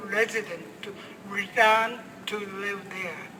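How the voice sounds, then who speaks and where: Over noticeable background noise, a man with a Japanese accent uses a raised, projected voice at a very slow pace. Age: 80s+. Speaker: atomic bomb survivor. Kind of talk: public speech.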